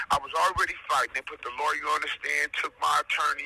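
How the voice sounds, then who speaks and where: The sound is dry and close with no echo, and noticeable background noise is present. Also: man. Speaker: defendant sharing his own case. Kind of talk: casual commentary. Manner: loud; animated.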